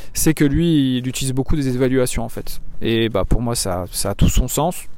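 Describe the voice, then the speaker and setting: A man talks with ordinary pitch variation. Noticeable background noise can be heard behind him. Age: 20s. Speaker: fitness coach. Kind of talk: casual monologue. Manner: halting.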